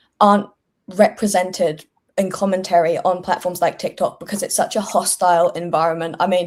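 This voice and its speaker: A woman's medium-pitched voice in a British accent, flat and monotone, at a fairly quick pace. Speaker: political content creator. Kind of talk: casual panel discussion.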